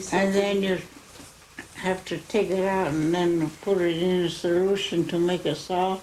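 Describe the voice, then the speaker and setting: A woman with an American accent speaks at a medium pitch and a fairly slow pace, her intonation fairly even, over noticeable background noise. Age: 80s+. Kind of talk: oral history interview.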